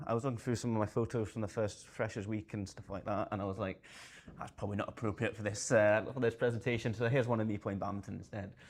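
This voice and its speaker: Very fast and monotone, a man with a Scottish accent speaks with flat intonation at a fairly low pitch. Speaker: conference speaker, space sector adviser. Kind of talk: conference talk. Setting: stage with audience. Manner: hesitant, many fillers.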